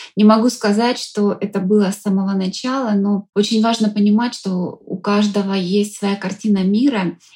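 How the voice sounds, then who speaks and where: A woman speaks at a moderate pace with hardly any pauses. Her tone is dark and mellow, somewhat breathy, with monotone, flat intonation. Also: medium pitch for a woman. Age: 40s. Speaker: psychologist and coach. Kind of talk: interview. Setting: studio.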